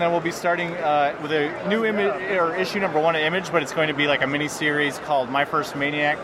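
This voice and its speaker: A man at a very fast pace, with ordinary pitch variation and very even loudness, amid noticeable background noise. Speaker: comic book writer. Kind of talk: casual interview at a convention. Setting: convention floor.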